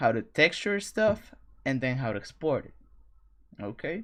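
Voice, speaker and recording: With a non-native accent, the speaker goes at a fairly slow pace in a very clean recording with a silent background. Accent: foreign accent, non-native English. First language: not English. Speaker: streamer teaching 3D track modeling. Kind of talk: live stream tutorial. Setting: live stream. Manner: halting, with self-corrections.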